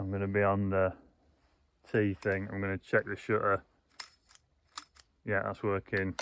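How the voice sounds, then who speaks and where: Mumbling with a Yorkshire accent, a man speaks at a moderate pace in a flat monotone, his voice fairly low and broken by long, frequent pauses. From Yorkshire, England. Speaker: landscape photographer. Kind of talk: casual talk to camera. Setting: outdoors. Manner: unpolished, mumbled diction.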